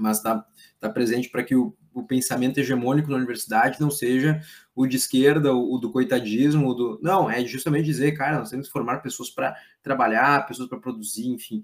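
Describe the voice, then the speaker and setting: Words rush out very fast from a man whose voice sits at a medium pitch. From Brazil, Rio Grande do Sul (Lajeado). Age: 30s. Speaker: politician and institute president. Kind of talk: interview. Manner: halting, many fillers.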